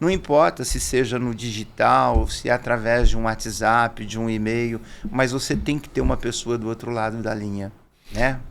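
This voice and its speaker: With an ordinary speaking voice, a man talks at a medium pitch and a moderate pace. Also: ordinary pitch variation. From Brazil, interior of São Paulo state. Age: 50s. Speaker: business owner, salesman. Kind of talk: podcast interview. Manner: conversational, informal.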